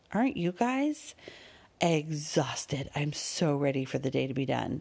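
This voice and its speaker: Very deep and low for a woman, her voice has an animated tone at a moderate pace on a very clean recording with a silent background. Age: 40s. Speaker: podcast host and relationship coach. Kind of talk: casual solo monologue. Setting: quiet room at home.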